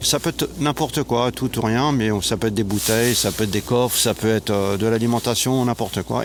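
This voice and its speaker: This man has an ordinary speaking voice at a medium pitch. He keeps a moderate pace with fairly even intonation. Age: 60s. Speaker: retired volunteer, guest. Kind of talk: interview. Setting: outdoors.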